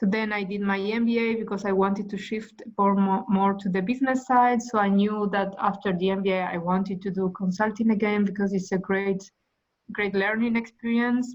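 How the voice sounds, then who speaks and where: Monotone, flat intonation in a medium-pitched female voice. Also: moderate pace. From Argentina. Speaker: management consultant. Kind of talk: interview. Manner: halting.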